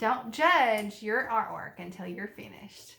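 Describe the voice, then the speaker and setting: This voice carries a strong Alabama accent and a warm tone. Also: woman. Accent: strong Alabama Southern. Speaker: art teacher. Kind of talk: tutorial. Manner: warm, encouraging.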